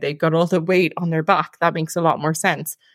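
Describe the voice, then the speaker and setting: A woman with an Irish accent speaks at a fairly quick pace and a fairly low pitch. The sound is dry and close, with no echo. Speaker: podcast co-host. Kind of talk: casual chat.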